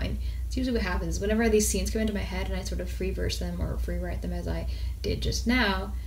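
Over light background noise, a woman talks very fast in a flat monotone, her pitch very deep and low. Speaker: indie author. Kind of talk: casual talk to camera. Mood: relaxed, thoughtful. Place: home room. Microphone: phone near.

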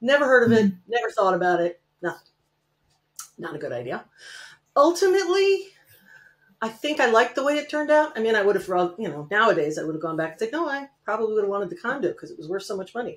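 Speaking with an American accent, a woman with a fairly high pitch races at a very fast pace, with very wide pitch swings, big swings in loudness and long, frequent pauses. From Connecticut, US. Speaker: real estate note investor; guest. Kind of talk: casual interview. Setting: video call. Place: home room. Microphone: webcam.

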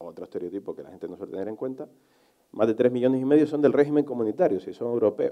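The man talks very fast, and the background is quiet. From Canary Islands, Telde; Canary Islands. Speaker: journalist; speaker. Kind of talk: panel discussion; conference talk. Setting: conference hall with audience. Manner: passionate, emphatic. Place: stage. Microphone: headset.

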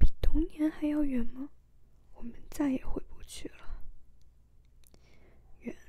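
The speaker whispers in a calm tone at a very slow pace. Long, frequent pauses run throughout. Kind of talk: ASMR book reading, soft-spoken. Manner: soft, calm, slow reading.

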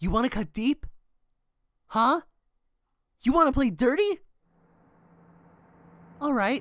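Slowly, a woman speaks in a high, fairly bright cartoonish character voice. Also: lively intonation.

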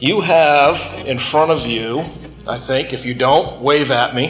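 A man's speech unfolds very slowly, with clear music playing in the background. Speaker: Bible class teacher. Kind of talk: lecture. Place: classroom.

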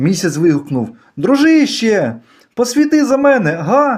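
In a playful, animated tone, a man talks at a fairly slow pace with very wide pitch swings. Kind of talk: poetry reading, playful children's verse read aloud. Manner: animated, rhythmic, sing-song storytelling; playful, whimsical, with shifts of tone for the cat's lines.

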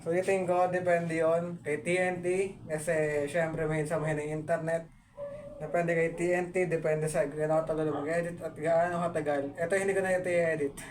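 Against noticeable background noise, a man speaks at a moderate pace in a high pitch with monotone, flat intonation. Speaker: YouTuber. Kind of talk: casual vlog update. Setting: at home. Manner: halting.

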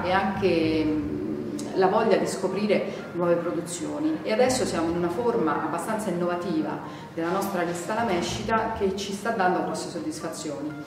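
A woman at a fairly low pitch, moderate pace and ordinary pitch variation, with audible room echo and noticeable background noise. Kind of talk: interview answer. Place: bar.

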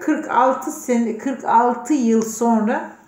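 A woman's dark, mellow tone with very wide pitch swings and audible room echo. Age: 40s. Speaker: personal development participant; letter reader in a personal development program. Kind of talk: recorded video message. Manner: heartfelt, unscripted. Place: office. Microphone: phone near.

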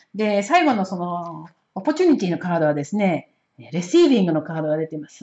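With lively intonation and a somewhat breathy sound, a woman speaks at a fairly quick pace over a quiet background. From Japan. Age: 60s. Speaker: oracle card reader and astrologer; oracle card reader. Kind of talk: solo spiritual card-reading talk. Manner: casual, many hesitation fillers. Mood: calm, warm. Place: home room. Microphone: camera far.

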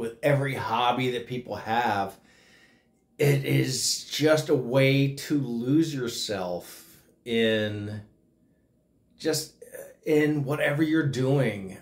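Long, frequent pauses break up a man's very slow speech, which has ordinary pitch variation. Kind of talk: casual vlog chat. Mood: grateful, sentimental. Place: home room. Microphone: phone near.

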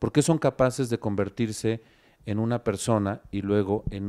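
This man's voice has a dark, mellow tone and fairly low pitch, with ordinary pitch variation. The background is quiet. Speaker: company director; interview guest. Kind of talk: talk show interview. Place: studio. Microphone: handheld.

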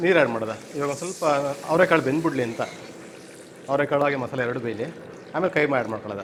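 Over noticeable background noise, a man with a fairly high pitch speaks with ordinary pitch variation. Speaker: restaurant cook. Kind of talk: cooking demonstration.

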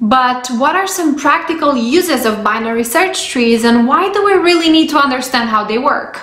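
Audible room echo hangs around a woman's voice. She speaks at a moderate pace with a high pitch. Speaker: presenter. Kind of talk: tutorial. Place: home room.

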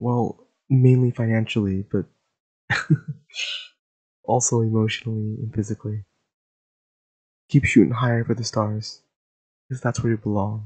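A man speaks in a somewhat breathy voice with monotone, flat intonation. The background is quiet. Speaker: audio roleplay voice actor. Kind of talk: roleplay voicemail monologue. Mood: warm, comforting, wholesome.

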